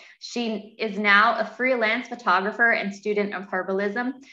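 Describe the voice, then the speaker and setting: Against a quiet background with audible room echo, a woman speaks at a moderate pace in a fairly high pitch with a bright, sharp tone. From Canada. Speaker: workshop moderator. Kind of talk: webinar hosting. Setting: video call. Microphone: webcam.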